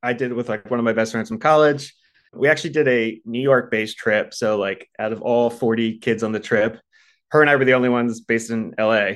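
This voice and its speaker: Against a quiet background, a man talks in a normal speaking voice at a fairly quick pace, with medium pitch and fairly even intonation. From US East Coast, Baltimore. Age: 30s. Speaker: podcast listener sharing breakup story. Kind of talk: casual interview.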